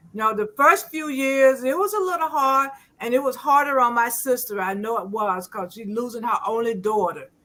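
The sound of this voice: The woman's voice is fairly high and has a bright, sharp tone. Her pitch varies an ordinary amount. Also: moderate pace.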